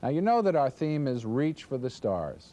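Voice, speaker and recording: Moving at a moderate pace, a man with a dark, mellow tone speaks with very wide pitch swings. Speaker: network promotion executive. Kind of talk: corporate presentation to affiliates. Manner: upbeat, salesy.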